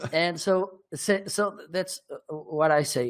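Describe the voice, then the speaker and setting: A high-pitched man speaks with a Portuguese accent. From northern Portugal. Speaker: marketing consultant and livestreamer. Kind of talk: interview. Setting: live stream. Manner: halting.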